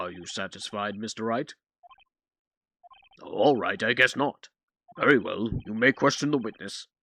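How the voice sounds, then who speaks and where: A man speaks in a put-on character voice, raspy and at a medium pitch. His pace is moderate, with big swings in loudness and long, frequent pauses. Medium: game stream. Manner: hesitant, easily flustered.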